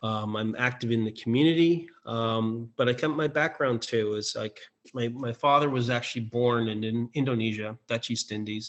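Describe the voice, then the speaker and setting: Speaking with a Canadian accent, a man at a medium pitch keeps a moderate pace and fairly even intonation, with hardly any pauses. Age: 60s. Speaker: election candidate. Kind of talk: closing statement in a candidates debate. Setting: all-candidates debate. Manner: halting, many fillers.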